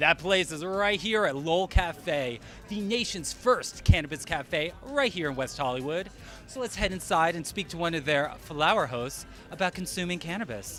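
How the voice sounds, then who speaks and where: Over music in the background, the speaker sounds playful, using lively intonation at a moderate pace. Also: man, high pitch for a man. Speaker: news anchor and on-camera reporter. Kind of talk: on-location reporter segment with playful humor. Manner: playful, lively.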